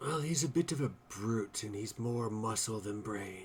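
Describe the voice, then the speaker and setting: Over clear background noise, a man does a raspy, put-on character voice at medium pitch and moderate pace, with ordinary pitch variation. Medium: actual play. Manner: formal, measured, politically smooth.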